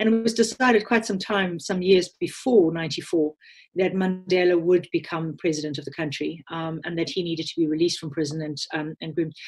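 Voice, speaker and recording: In a South African accent, a woman with a fairly low pitch and a somewhat breathy voice talks at a fairly quick pace with ordinary pitch variation. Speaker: communications leader, former diplomat. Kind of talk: interview. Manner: hesitant, many filler words.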